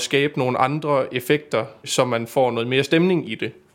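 A man with a plain, everyday voice, medium pitch, and fairly even intonation. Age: 20s. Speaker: stage pyrotechnician. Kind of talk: casual interview.

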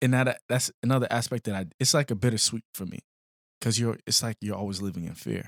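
In a dry, close recording with no echo, a man of medium pitch speaks at a fairly quick pace in a normal speaking voice with ordinary pitch variation. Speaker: podcast host. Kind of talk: casual chat.

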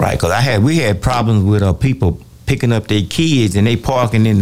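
A man's medium-pitched voice at a fairly quick pace, ordinary pitch variation, noticeable background noise. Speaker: fill-in radio host. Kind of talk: call-in talk show. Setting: radio studio.

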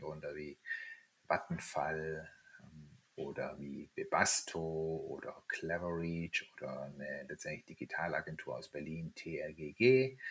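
A man speaks at a fairly slow pace. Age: 50s. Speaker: startup founder. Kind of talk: interview. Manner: hesitant, many filler words.

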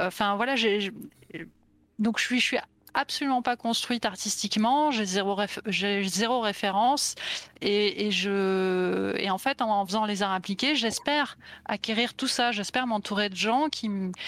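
Heard on a very clean recording with a silent background, a woman speaks at a fairly slow pace, medium in pitch, with ordinary pitch variation. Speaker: illustrator. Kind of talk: interview.

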